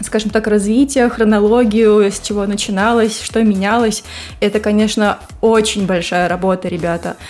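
Over music in the background, a woman talks at a moderate pace and medium pitch with monotone, flat intonation. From Russia, Saint Petersburg. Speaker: host's wife, guest. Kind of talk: casual chat.

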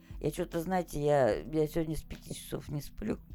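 A woman's voice with vocal fry at a moderate pace. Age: 60s. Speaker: retired gamer grandmother. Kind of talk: casual chat.

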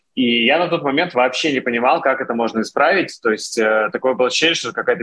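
Here is a man with an ordinary speaking voice, medium pitch and ordinary pitch variation. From Russia. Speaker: founder of a tech community channel. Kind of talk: interview conversation.

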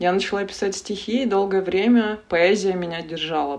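A woman talks at a moderate speed with ordinary pitch variation while noticeable background noise carries on. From Russian Far North (Yakutia). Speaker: analytical psychologist and tarot reader. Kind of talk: interview conversation.

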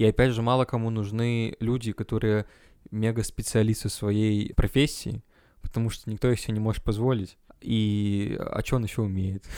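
A man speaks at a moderate pace in a medium pitch with a dark, mellow tone. His intonation is monotone and flat on a very clean recording with a silent background. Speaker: podcast co-host, student. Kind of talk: casual chat.

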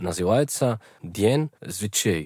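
Lively intonation at a very slow pace. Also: man. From Colombia, Bogotá. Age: 20s. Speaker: student. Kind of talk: casual chat. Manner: halting.

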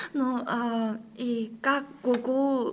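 A woman talks with a Korean accent. Her voice is somewhat breathy. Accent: Korean-accented Russian. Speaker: international master's student. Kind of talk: interview, casual chat. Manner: halting, hesitant with pauses.

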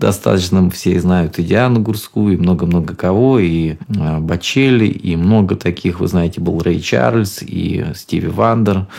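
A man's very deep, low voice at a fairly slow pace, with ordinary pitch variation and very even loudness over noticeable background noise. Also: hardly any pauses. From Rostov region, southern Russia. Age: 40s. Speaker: radio host and singer. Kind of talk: radio show monologue. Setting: radio studio.

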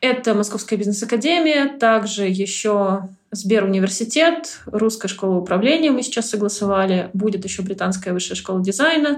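A woman with a normal speaking voice talks at a moderate pace. Her pitch is medium and her intonation lively. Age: 30s. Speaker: marketer and public speaker. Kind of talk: interview.

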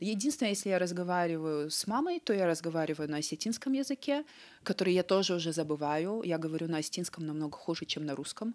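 At a very fast pace and with lively intonation, the voice comes through on a very clean recording with a silent background. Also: woman, fairly low pitch for a woman. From North Ossetia, Vladikavkaz. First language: Ossetian (bilingual with Russian) (speaking Russian). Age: 30s. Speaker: cardiac surgeon. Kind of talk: interview.

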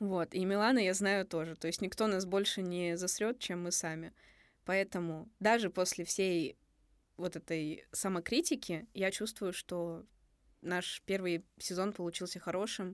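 With an ordinary speaking voice, a woman talks at a fairly slow pace with fairly even intonation, on a very clean recording with a silent background. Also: medium pitch for a woman. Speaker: podcast co-host, university student. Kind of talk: casual chat.

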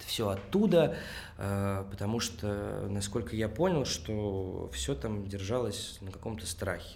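Speaking very slowly with vocal fry, a man uses a fairly low pitch and ordinary pitch variation, his loudness swinging widely in audible room echo. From Russia, Tolyatti. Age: 20s. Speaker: actor and theatre director. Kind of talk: interview conversation.

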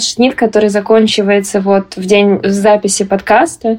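Monotone, flat intonation and a fairly high pitch characterize a woman talking at a moderate pace. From Moscow, Russia. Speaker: graduate student, podcast co-host. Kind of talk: casual chat.

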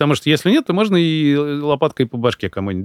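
With very wide pitch swings, a man with a fairly high pitch talks at a very fast pace. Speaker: coach and consultant, founder of a personal development program. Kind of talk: casual chat. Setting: studio. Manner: articulate, fluent storyteller.

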